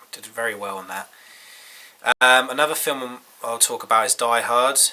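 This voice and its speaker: At a moderate pace and medium pitch, a man speaks with fairly even intonation and big swings in loudness, with noticeable background noise behind him. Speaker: film reviewer. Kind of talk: casual talk to camera.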